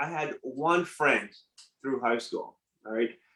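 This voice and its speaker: A man speaks with a French accent. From Nigeria and Ottawa, Canada. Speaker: entrepreneur. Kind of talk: interview. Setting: live stream.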